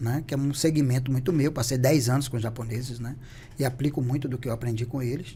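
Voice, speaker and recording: Very fast speech comes in a somewhat breathy, dark, mellow tone with fairly even intonation. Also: man, medium pitch for a man. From Bahia, Brazil (Salvador). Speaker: beauty entrepreneur. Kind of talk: podcast interview.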